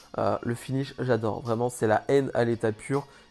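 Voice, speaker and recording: Over music in the background, a man talks in a monotone, flat intonation. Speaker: wrestling commentator YouTuber. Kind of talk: casual video review. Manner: halting.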